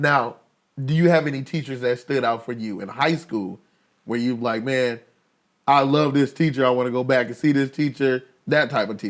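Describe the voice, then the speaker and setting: Medium pitch and fairly even intonation from a man, an unremarkable speaking voice at a moderate pace. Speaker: podcast host. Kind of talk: casual interview talk.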